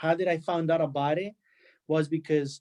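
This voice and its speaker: A man with a Spanish accent speaks at a fairly high pitch in a monotone, flat intonation. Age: 20s. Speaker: immigrant panelist. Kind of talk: testimony. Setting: webinar.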